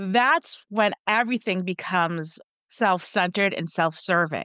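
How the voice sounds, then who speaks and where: A woman speaks in an ordinary speaking voice at a medium pitch. Her pace is fairly slow, with ordinary pitch variation. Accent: American. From United States. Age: 40s. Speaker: podcast production company owner. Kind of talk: interview.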